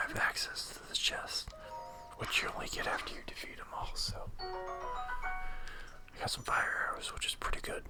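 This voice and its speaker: Someone is whispering with music in the background. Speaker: ASMR gaming channel host. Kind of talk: gameplay commentary. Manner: whispered.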